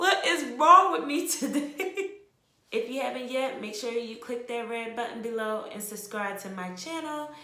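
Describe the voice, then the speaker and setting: A high-pitched woman with a New Jersey accent at a moderate pace, with very wide pitch swings, big swings in loudness and audible room echo. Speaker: natural hair vlogger. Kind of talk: hair care tutorial. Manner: casual, chatty.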